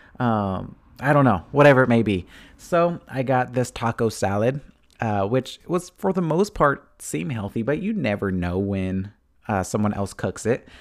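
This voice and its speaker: A man uses a normal speaking voice at a medium pitch, with lively intonation and a moderate pace. The recording is very clean, with a silent background. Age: 30s. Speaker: fitness podcast host. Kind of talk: casual solo monologue. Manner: casual, with filler words and laughs.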